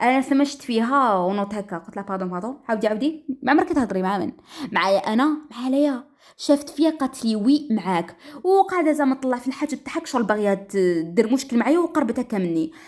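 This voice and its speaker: At a fairly quick pace, a high-pitched woman speaks with very wide pitch swings. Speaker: storyteller. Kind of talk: dramatic first-person story narration. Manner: lively, expressive.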